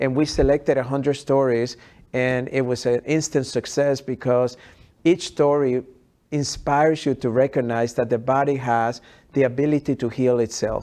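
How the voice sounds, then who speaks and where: The man's tone is dark and mellow. His intonation is monotone and flat. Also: medium pitch for a man, moderate pace. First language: not English. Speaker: health expert and author. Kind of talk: interview conversation.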